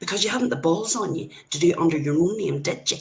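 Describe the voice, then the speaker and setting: Swinging very widely in pitch, a woman speaks with an Irish accent. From Ireland. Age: old. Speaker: livestreamer. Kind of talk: heated livestream rant. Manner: animated.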